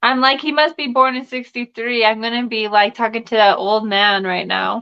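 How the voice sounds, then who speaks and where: A woman's unremarkable speaking voice, fairly high-pitched, at a moderate pace with fairly even intonation. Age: 20s. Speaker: YouTube interviewer. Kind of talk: casual chat.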